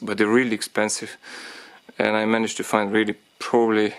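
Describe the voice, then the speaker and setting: A man with a non-native accent speaks at a moderate pace. His fairly low voice has monotone, flat intonation. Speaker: DIY car repair tutor. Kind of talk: tutorial talk to camera. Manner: hesitant, many fillers.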